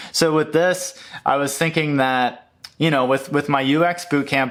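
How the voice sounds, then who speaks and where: Fairly high for a man, this man's voice moves at a moderate pace with fairly even intonation. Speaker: YouTuber on UX design. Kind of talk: casual screen-share walkthrough. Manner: hesitant, many fillers; mumbling.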